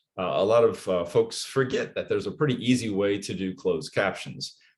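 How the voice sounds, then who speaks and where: Somewhat breathy, a man speaks at a medium pitch and a fairly quick pace. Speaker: educator leading a teaching workshop. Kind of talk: online workshop presentation. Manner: fast.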